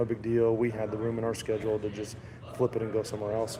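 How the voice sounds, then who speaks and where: Over noticeable background noise, a man at medium pitch talks very fast in a monotone, flat delivery. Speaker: gun channel host. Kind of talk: live stream vlog. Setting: live stream at trade show. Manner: casual, halting with fillers.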